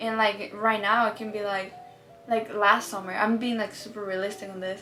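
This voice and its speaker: Music plays in the background as a woman speaks at a fairly quick pace in a Mexican accent. Her medium-pitched delivery is monotone and flat. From Mexico. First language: Spanish. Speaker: social media creator. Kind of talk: casual Q&A chat. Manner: casual, lots of fillers.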